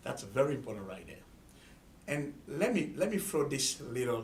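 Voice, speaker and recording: A somewhat breathy man in an Ivorian accent at a fairly quick pace, with audible room echo. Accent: Ivorian (West African). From Ivory Coast. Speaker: student organizer. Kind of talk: interview.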